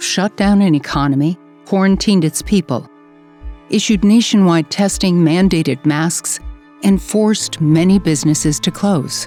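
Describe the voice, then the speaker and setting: Music plays in the background while a woman talks in a fairly low pitch. Her intonation is lively, and her loudness stays very even. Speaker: voice over narrator of a public service announcement. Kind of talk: PSA narration.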